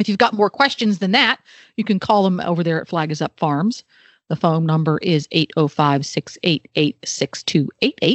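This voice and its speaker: Lively intonation runs through an unremarkable speaking voice that moves at a fairly slow pace. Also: woman, fairly low pitch for a woman. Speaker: radio producer. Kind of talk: casual chat.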